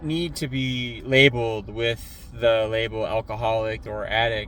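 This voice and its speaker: A man with a medium pitch. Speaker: recovery vlogger. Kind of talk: casual motivational talk. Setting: in a truck. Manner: loud.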